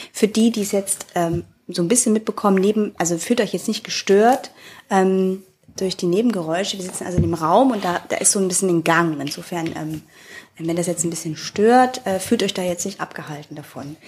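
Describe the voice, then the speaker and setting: Noticeable background noise sits behind a woman of medium pitch. She speaks at a moderate pace with ordinary pitch variation. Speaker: podcast host. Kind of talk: casual interview.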